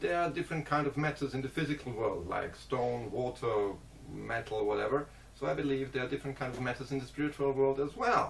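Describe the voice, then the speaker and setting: A man at a medium pitch, talking at a very fast pace. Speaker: vlogger. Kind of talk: casual monologue. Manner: halting.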